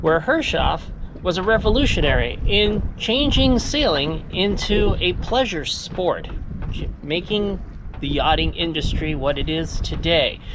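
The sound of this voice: With lively intonation and few pauses, a woman speaks at a fairly slow pace and fairly low pitch against clear background noise.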